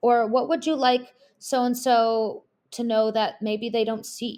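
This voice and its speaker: The voice belongs to a woman. It sits fairly high in pitch. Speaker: social worker and continuing education instructor. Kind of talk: lecture.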